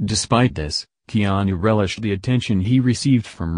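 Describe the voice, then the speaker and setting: A man's fairly low voice, a normal speaking voice, with ordinary pitch variation, a fairly quick pace and a quiet background. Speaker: true crime narrator. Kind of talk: true-crime narration, scripted and read out, grave, documentary style. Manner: solemn, measured, formal.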